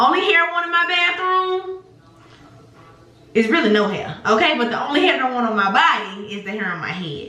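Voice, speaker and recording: A raised, projected voice swings very widely in pitch at a fairly quick pace, with audible room echo and noticeable background noise. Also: woman, high pitch for a woman. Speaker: beauty vlogger and teacher. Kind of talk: casual vlog chat. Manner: fast; animated.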